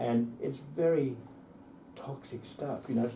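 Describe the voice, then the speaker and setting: Heard with audible room echo, a man speaks at a moderate pace in a dark, mellow, somewhat breathy tone. His pitch is medium and varies in an ordinary way. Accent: Australian. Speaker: environmental campaigner. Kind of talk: interview.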